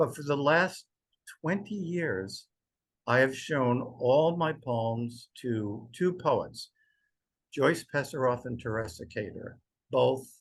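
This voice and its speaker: Somewhat breathy and medium in pitch, a man's voice moves at a very slow pace with lively intonation. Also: quiet background. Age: 70s. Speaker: poet. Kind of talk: interview conversation. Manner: halting.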